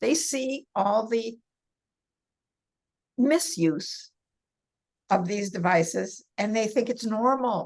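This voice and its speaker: Lively intonation marks this woman's fairly high voice, which moves at a very slow pace with long, frequent pauses. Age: 70s. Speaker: senior health advocate and massage therapist. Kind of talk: podcast interview.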